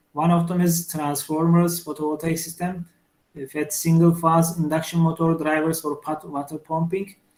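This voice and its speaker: This man has a Turkish accent. His pitch is fairly high and his intonation fairly even. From Turkey. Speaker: engineering professor. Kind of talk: lecture. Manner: halting, many fillers.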